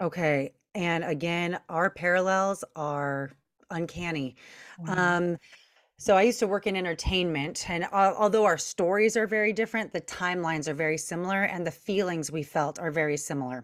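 A woman's unremarkable speaking voice, fairly low in pitch, with an American accent, ordinary pitch variation and a moderate pace, on a very clean recording with a silent background. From Long Beach, California. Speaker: self mastery coach. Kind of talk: podcast interview.

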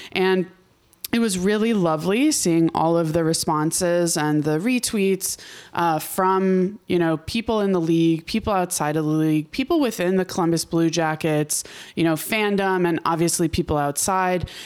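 A woman speaks in an ordinary speaking voice, fairly low in pitch, at a moderate pace with ordinary pitch variation. Her loudness stays very even, and the recording is very clean with a silent background. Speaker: hockey podcast host. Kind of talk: casual chat.

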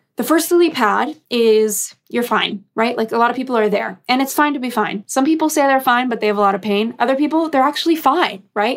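A woman with an American accent speaks at a fairly quick pace in a high pitch, with ordinary pitch variation and hardly any pauses. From US West Coast, Los Angeles. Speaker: career coach. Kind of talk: interview.

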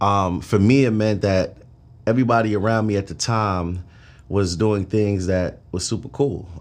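This man has an unremarkable speaking voice with a fairly low pitch. He talks at a moderate pace with ordinary pitch variation. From Brooklyn, New York. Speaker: trucking entrepreneur. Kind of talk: casual interview.

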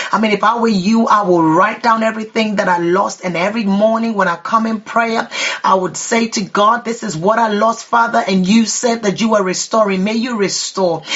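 Noticeable background noise is present throughout. The talking holds a moderate pace and has hardly any pauses. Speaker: prayer leader. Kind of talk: fervent prayer and declarations. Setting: online prayer broadcast. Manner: impassioned, rhythmic, repetitive declarations.

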